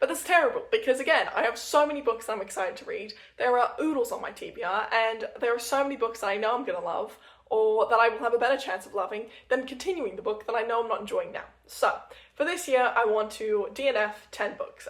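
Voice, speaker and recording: High-pitched woman's speech at a very fast pace with ordinary pitch variation. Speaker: book vlogger. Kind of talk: casual vlog monologue.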